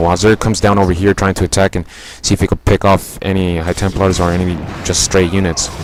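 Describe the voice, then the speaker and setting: A man talks at a fairly quick pace in a very deep, low voice. His intonation is monotone and flat, and there is noticeable background noise. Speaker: video game commentator. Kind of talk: replay commentary.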